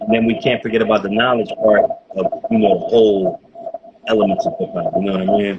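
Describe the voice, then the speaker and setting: Noticeable background noise sits behind the recording. A man talks at a very fast pace in a Philadelphia accent. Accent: East Coast (Philly). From Philadelphia, US East Coast. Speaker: hip-hop podcast host. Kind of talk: casual interview. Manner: casual, slangy.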